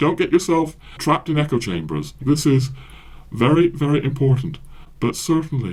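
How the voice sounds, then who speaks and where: A man with an American accent, fairly high pitch, vocal fry, moderate pace and ordinary pitch variation. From USA, English parents. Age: 60s. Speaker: podcaster and author. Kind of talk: monologue podcast, book recommendation. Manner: many fillers and hesitations.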